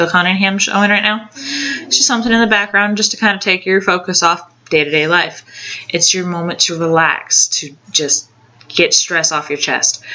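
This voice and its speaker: A woman at medium pitch and a moderate pace. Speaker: video blogger. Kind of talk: casual advice vlog. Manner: halting, many fillers.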